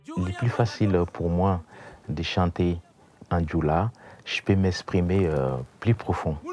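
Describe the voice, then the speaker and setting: Someone speaks very slowly with a West African accent, leaving long, frequent pauses. There is noticeable background noise. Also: man, very deep, low pitch for a man, ordinary pitch variation. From Burkina Faso. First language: Dioula (speaking French). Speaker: musician. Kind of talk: interview.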